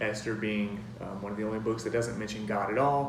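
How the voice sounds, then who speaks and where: A man speaks at a fairly low pitch with fairly even intonation, with audible room echo and noticeable background noise. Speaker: youth minister giving a sermon. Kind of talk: sermon. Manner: fast; hesitant, many filler words.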